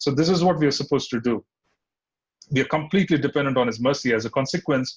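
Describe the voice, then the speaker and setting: A man talks at a very fast pace, his voice somewhat breathy. His pitch is fairly high, with ordinary variation. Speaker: spiritual teacher. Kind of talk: scripture class lecture.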